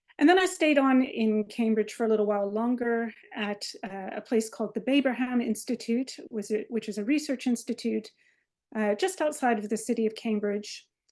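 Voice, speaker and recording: A plain, everyday voice with an American accent. The pace is moderate and the pitch variation ordinary. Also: woman, fairly high pitch for a woman. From US, Maryland. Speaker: biomedical researcher, associate professor. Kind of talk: lecture. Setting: video call webinar.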